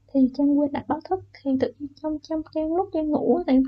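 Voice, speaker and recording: Her pace is fairly quick. A woman speaks at a high pitch with ordinary pitch variation. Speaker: storyteller YouTuber. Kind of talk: personal storytelling. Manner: not spooky enough per viewers.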